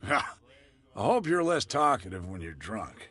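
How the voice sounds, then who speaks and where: A man puts on a raspy character voice, fairly high in pitch with very wide pitch swings. He keeps a moderate pace against a quiet background. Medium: video game. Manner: gruff, guarded.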